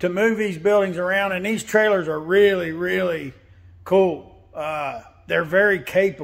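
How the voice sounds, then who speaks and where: Against a quiet background, a man with a high voice speaks fairly slowly, with ordinary pitch variation. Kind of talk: casual vlog chat. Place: workshop. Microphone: phone near.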